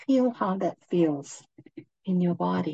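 A woman speaks in a somewhat breathy voice with a fairly low pitch. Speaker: meditation guide. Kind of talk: guided meditation. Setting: livestream to a group. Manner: slow, calm, soothing; soft, long pauses between phrases.

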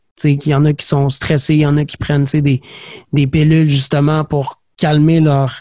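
Speaking at a fairly slow pace, a man with a Quebec accent uses a fairly high pitch. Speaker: podcast host. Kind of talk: casual interview chat.

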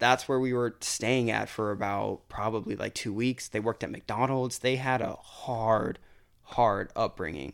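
In a normal speaking voice, a man with an American accent speaks at a fairly slow pace, with medium pitch and ordinary pitch variation. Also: very clean recording, silent background. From Florida. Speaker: college student. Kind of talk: casual chat.

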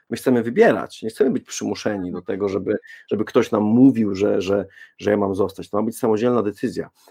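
A dark, mellow voice rushes along at a very fast pace in a flat monotone, recorded dry and close with no echo. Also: man, fairly low pitch for a man. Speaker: parenting blogger and podcaster. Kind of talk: panel debate.

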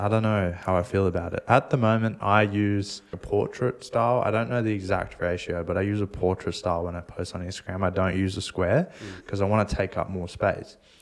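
An unremarkable speaking voice from a man, fairly low in pitch, with fairly even intonation, a fairly quick pace and hardly any pauses. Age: 20s. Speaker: podcast co-host on social media marketing. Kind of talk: casual chat.

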